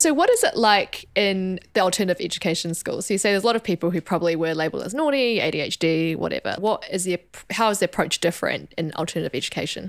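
A woman with a New Zealand accent at a very fast pace, with hardly any pauses, medium pitch and ordinary pitch variation. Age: 20s. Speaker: podcast host and doctor. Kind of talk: interview.

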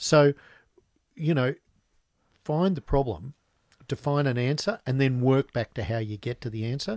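A man with an Australian accent speaks at a moderate pace and medium pitch, with lively intonation and long, frequent pauses. The recording is very clean with a silent background, and the sound is dry and close with no echo. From Australia, Newcastle. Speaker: business founder. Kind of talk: interview. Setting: studio.

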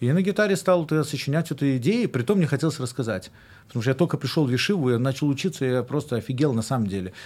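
Speaking at a very fast pace, a man uses lively intonation and a fairly high pitch. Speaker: rabbi and musician. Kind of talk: casual chat. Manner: halting.

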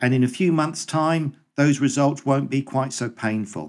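Using an unremarkable speaking voice, a man talks at a moderate pace with a fairly high pitch. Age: 50s. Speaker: teacher. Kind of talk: casual chat.

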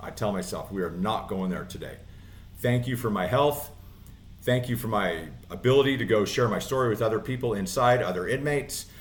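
The voice is somewhat breathy, with ordinary pitch variation at a fairly quick pace. Audible room echo surrounds it. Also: man, medium pitch for a man. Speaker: inspirational speaker and former inmate in recovery. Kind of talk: interview testimony. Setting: studio.

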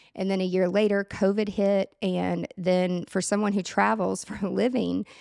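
In a Tennessee accent, a woman speaks at a medium pitch and moderate pace on a very clean recording with a silent background. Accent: Southern US (Tennessee). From US South, Nashville area, Tennessee. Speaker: productivity consultant and event planner. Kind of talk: casual interview chat.

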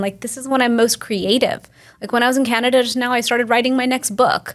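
A normal speaking voice: a woman, fairly high-pitched, at a fairly quick pace with an American accent. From Texas. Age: 40s. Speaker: Ayurvedic practitioner. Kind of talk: casual interview.

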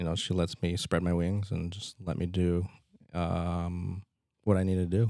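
In a very clean recording with a silent background, a man with a Midwestern American accent speaks in a very deep, low pitch and a dark, mellow tone. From Nebraska, Fremont. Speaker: physician and clinic owner. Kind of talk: casual interview.

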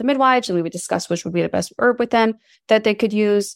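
In an ordinary speaking voice of medium pitch, a woman talks with ordinary pitch variation, recorded very cleanly against a silent background with a dry, close sound and no echo. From New York City. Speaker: herbalist and entrepreneur. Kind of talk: interview.

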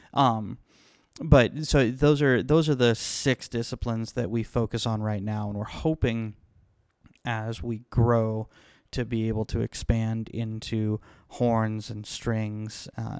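Against a silent background in a very clean recording, a man with a normal speaking voice talks with fairly even intonation. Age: 30s. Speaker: music school manager. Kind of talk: casual chat.

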